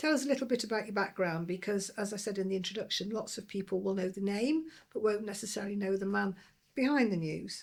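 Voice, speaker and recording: Speaking very fast with a Lancashire accent, a woman uses a medium pitch and ordinary pitch variation. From Lancashire, northern England. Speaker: podcast host, former transport regulator. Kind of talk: interview.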